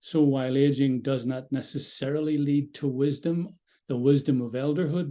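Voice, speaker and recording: A man with an Irish accent speaks in a fairly high pitch, his tone dark and mellow. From Ireland. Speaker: mindfulness dialogue facilitator. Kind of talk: guided group dialogue.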